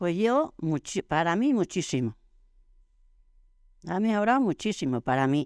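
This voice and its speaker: A woman with a fairly low pitch speaks with very wide pitch swings, long, frequent pauses and very even loudness. The recording is very clean, with a silent background and a dry, close sound with no echo. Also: fairly slow pace. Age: 80s+. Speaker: interviewee, older village woman. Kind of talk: interview conversation.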